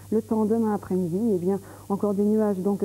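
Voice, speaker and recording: A woman with a dark, mellow tone at a moderate pace. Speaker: TV presenter. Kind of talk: weather forecast presentation. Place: studio. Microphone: lapel.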